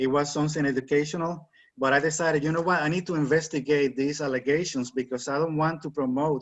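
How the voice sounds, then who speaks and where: Speaking at a fairly quick pace, a man with a Spanish accent keeps a fairly high pitch and fairly even intonation. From Puerto Rico. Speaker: author. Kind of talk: interview.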